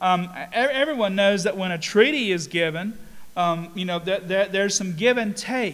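Using a Southern US accent, a high-pitched man speaks at a moderate pace with ordinary pitch variation. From US South, North Carolina. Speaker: pastor. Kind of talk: sermon. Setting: church. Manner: halting, many fillers and repeats.

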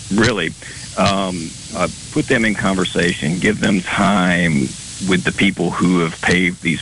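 There is noticeable background noise behind a man talking at a moderate pace. His voice is very deep and low. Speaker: college arts program representative. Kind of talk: casual interview chat. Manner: halting, hesitant.

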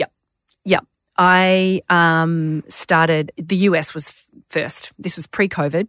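Using an Australian accent, a woman speaks at a very slow pace and fairly low pitch in a monotone, flat intonation with big swings in loudness, the sound dry and close with no echo. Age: 40s. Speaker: intended mother. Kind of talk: interview. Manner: hesitant, with fillers.

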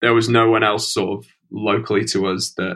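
A man speaks with a Yorkshire accent. His pace is moderate. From northern England, Sheffield (Stocksbridge). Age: 30s. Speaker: rock musician. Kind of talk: interview.

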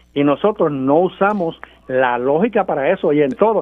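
A man's lively intonation carries his fairly slow speech. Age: 70s. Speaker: caller, retired education worker. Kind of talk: call-in opinion. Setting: phone call.

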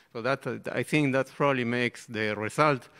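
A man with a Spanish accent, bright and sharp in tone, with fairly even intonation. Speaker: bandoneon player and composer. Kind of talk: panel discussion. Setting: live stage with audience.

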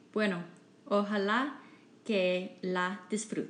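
Speaking very slowly, a woman's voice carries audible room echo. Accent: English. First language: English (speaking Spanish). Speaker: podcast host, Spanish learner. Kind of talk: casual chat. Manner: halting, many fillers.

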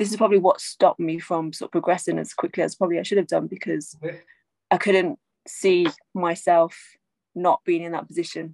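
A woman talks at a fairly quick pace with vocal fry and monotone, flat intonation, broken by long, frequent pauses. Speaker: martial arts instructor and actor. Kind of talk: casual chat.

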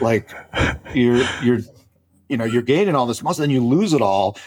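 A man with an American accent, medium pitch, lively intonation and an ordinary speaking voice. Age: 50s. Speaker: physician. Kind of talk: casual chat.

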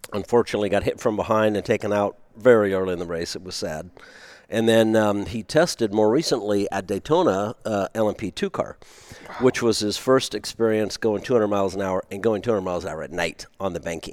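A man with an unremarkable speaking voice talks fairly quickly at a fairly low pitch with ordinary pitch variation. The recording is very clean, with a silent background. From US (born in Germany, raised American). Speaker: race car driver. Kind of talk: casual interview. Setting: recorded before a live audience.

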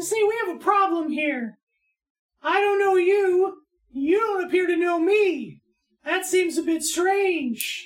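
This is a put-on character voice at an extremely high pitch. It moves along at a fairly slow pace. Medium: actual play. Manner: cool, suspicious, quietly menacing.

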